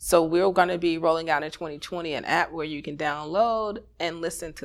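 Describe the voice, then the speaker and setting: With an American accent, a woman uses a normal speaking voice, fairly low in pitch, with ordinary pitch variation. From Chicago. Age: 30s. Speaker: radio network founder and media artist. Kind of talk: interview chat; personal storytelling read aloud.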